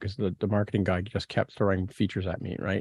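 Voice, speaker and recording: Here a man talks with a Canadian accent. His pace is fairly quick. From Ontario, Canada (St Catharines). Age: 60s. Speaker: podcast host. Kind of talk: casual chat. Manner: halting, many fillers and restarts.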